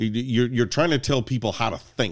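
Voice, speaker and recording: Vocal fry runs through a man's medium-pitched voice on a very clean recording with a silent background. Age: 50s. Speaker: podcast guest. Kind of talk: casual chat.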